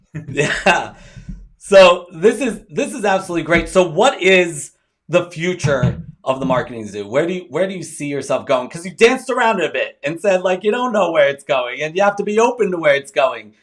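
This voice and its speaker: Speaking in a Baltimore accent, a man uses a high pitch and lively intonation at a fairly quick pace. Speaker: interview show host. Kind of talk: interview.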